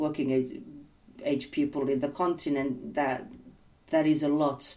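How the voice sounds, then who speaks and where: A woman's dark, mellow tone at a fairly slow pace. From Senegal. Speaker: education researcher and entrepreneur. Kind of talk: interview. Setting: video call.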